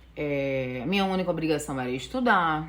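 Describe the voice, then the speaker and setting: A woman talks with a strong northeastern Brazilian accent. Audible room echo surrounds her voice. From Northeast Brazil, Natal, Rio Grande do Norte. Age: 40s. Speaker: vlogger. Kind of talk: casual vlog storytelling. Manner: many filler sounds, unedited.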